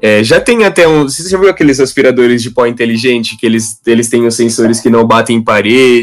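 With hardly any pauses, a man talks in a plain, everyday voice at medium pitch with ordinary pitch variation. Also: fairly quick pace. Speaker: IT systems worker. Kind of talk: interview.

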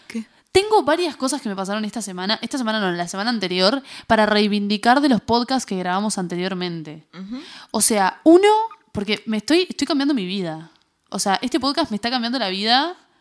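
A woman's fairly high voice at a fairly quick pace, with lively intonation. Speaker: podcast co-host. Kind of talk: casual chat. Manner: fast.

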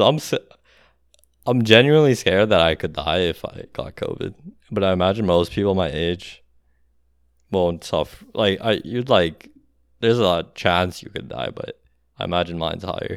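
A man talks at a moderate pace with a very deep, low pitch. His intonation is lively, and he leaves long, frequent pauses. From outside the US. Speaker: podcast co-host. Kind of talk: casual chat. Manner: energetic.

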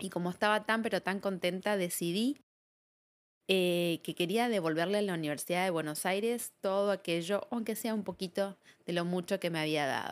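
A woman with an Argentine accent speaks in a medium pitch. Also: ordinary pitch variation, moderate pace. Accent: Argentine Spanish (Rioplatense). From Argentina. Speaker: psychologist and podcast host. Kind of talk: reflective solo monologue.

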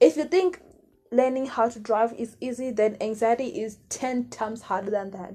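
With music playing in the background, a woman speaks at a moderate pace and a fairly high pitch, using ordinary pitch variation. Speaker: podcast host. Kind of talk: casual monologue. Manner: rambling, halting.

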